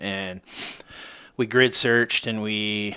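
With an American accent and fairly even intonation, the speaker has an unremarkable speaking voice. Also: man. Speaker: podcast co-host. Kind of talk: casual chat. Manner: joking, easygoing.

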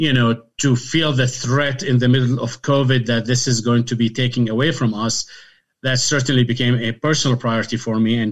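In a very clean recording with a silent background, a man with an Arabic accent talks fairly quickly at a medium pitch, his intonation monotone and flat. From Syria (Damascus). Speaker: physician, medical society president. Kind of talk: interview.

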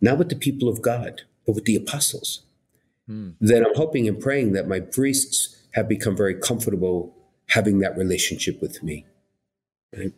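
Speaking with a New York accent, a man sounds somewhat breathy and uses lively intonation. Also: medium pitch for a man, moderate pace. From Brooklyn, New York. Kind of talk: interview chat.

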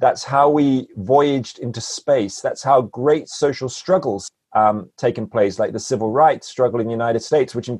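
At a moderate pace, a man with a normal speaking voice shows ordinary pitch variation. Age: 40s. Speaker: public philosopher and author. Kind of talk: interview conversation.

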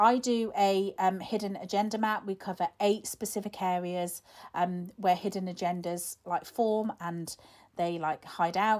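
A woman talks in a plain, everyday voice at a medium pitch, fairly slowly and with fairly even intonation. The recording is very clean, with a silent background. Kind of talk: guided visualisation, calm instructional prompts to close your eyes and imagine. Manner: warm, gentle, coaxing, conversational and encouraging.

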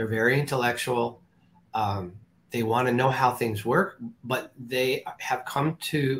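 This man's voice is somewhat breathy. He keeps a fairly slow pace. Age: 60s. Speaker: holistic energy healer. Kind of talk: interview. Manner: halting.

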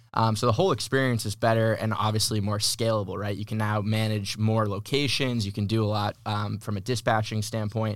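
Speaking in an American accent at a fairly quick pace with hardly any pauses, a man uses a fairly low pitch and a monotone, flat intonation on a very clean recording with a silent background. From Massachusetts. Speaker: plumbing business owner. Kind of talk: interview. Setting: studio.

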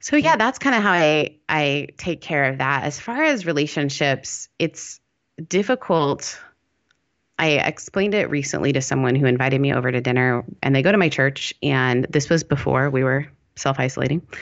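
A woman with a very deep, low pitch speaks at a moderate pace, her loudness very even and her pitch variation ordinary. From Canada, then Mississippi. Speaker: pastor and podcaster. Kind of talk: casual interview chat.

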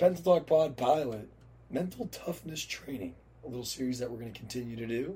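A dark, mellow, somewhat breathy voice with lively intonation, big swings in loudness and a fairly quick pace. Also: man, medium pitch for a man. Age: 20s. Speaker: podcast co-host. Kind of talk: casual chat.

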